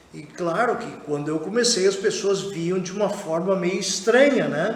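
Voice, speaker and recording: Amid noticeable background noise and audible room echo, a man speaks at a fairly slow pace in a high pitch with ordinary pitch variation and big swings in loudness. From southern Brazil, rural interior. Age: 60s. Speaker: sculptor. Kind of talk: interview. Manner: hesitant, many fillers.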